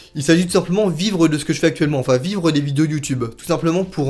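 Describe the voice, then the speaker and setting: This clip features a man talking. The rise and fall of his pitch is ordinary. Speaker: YouTuber, theme park vlogger. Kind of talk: casual Q&A vlog. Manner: fast; spontaneous, many hesitations.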